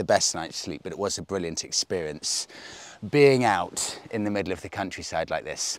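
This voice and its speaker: A moderate pace with lively intonation and big swings in loudness, in a dry sound with no echo. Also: man, very deep, low pitch for a man. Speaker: motorcycle road trip vlogger. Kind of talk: casual vlog chat. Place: open country.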